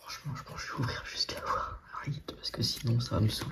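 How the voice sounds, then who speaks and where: A soft-spoken man is heard over noticeable background noise. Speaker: ASMR Pokémon card content creator. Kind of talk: casual talk to camera while opening trading card packs. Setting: home recording with no real microphone.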